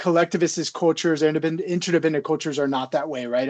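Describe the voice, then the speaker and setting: An ordinary speaking voice from a man with an American accent, fairly high in pitch, against a quiet background. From US South. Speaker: psychology professor. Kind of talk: interview.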